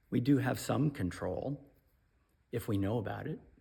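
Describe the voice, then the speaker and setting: Somewhat breathy with a dark, mellow tone, a man speaks at medium pitch. His pace is fairly slow and his intonation lively. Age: 50s. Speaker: pastor. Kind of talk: devotional talk.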